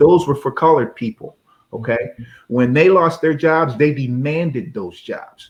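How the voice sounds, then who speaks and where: A somewhat breathy man's voice, fairly high in pitch, with lively intonation and a moderate pace. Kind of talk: casual talk-show host conversation.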